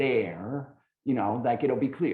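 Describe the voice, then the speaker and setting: With an ordinary speaking voice, a man talks at a fairly high pitch with lively intonation. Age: 60s. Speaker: recovery speaker. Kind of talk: testimony.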